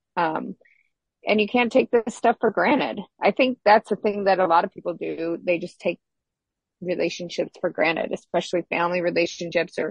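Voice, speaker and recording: Speaking at a moderate pace in a plain, everyday voice, a woman has a medium pitch and ordinary pitch variation, recorded with a dry, close sound and no echo. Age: 50s. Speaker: relationship podcast co-host. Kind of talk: casual chat.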